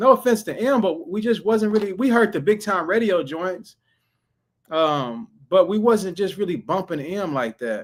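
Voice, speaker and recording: Here a man with a slight Southern accent speaks at a high pitch, his tone animated and intonation lively. The recording is very clean, with a silent background. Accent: slight southern drawl. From Texas. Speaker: streamer reacting to music. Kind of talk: casual livestream chat.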